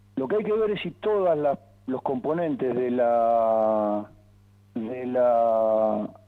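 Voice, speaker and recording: At a very slow pace, a man speaks with lively intonation and a medium pitch. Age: 60s. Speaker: football coach and former player. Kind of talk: interview.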